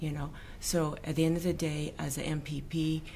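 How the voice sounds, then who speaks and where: A woman speaks in a very deep, low voice, with audible echo from the room. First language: not English. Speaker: provincial politician. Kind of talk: political interview. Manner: halting.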